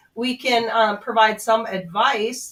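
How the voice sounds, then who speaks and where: A woman speaks at a high pitch in a North Dakota accent. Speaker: commercial realtor. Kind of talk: radio interview advice.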